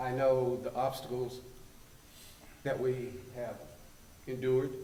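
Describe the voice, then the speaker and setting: Speaking in a western North Carolina accent, a man with a medium-pitched voice talks at a fairly slow pace in a monotone, flat intonation, with audible room echo around him. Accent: Southern US (western North Carolina). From US South. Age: 70s. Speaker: public commenter. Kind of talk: public comment at town council meeting. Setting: town council meeting.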